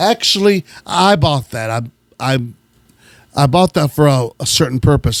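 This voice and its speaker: The man's voice is captured dry and close, with no echo. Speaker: radio host who collects gospel records. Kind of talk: casual show-and-tell of record collection.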